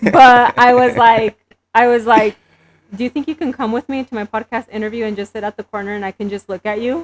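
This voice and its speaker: A woman with a Spanish accent, fairly high in pitch, at a fairly quick pace with fairly even intonation, in a dry, close recording with no echo. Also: big swings in loudness. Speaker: entrepreneur and beauty business owner. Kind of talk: podcast interview. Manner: casual, hesitant with fillers.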